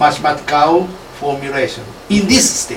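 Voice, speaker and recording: Noticeable background noise and audible room echo accompany a man with a fairly high pitch. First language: Japanese. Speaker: professor leading lab seminar. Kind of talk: academic seminar discussion. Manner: halting, many fillers.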